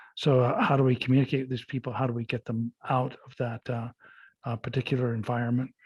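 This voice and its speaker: A man at medium pitch speaks fairly quickly in a somewhat breathy monotone, with flat intonation, the sound dry and close with no echo over a quiet background. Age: 70s. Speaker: county sheriff. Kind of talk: interview. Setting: podcast interview. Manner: halting, many fillers.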